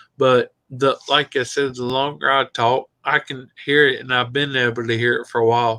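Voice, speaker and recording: A man's medium-pitched voice in a Southern US accent, bright and sharp in tone, monotone and flat, with hardly any pauses, over a quiet background, the sound dry and close with no echo. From Tennessee. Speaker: viewer joining the livestream. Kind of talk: casual chat. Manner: slow; slurred as talk goes on.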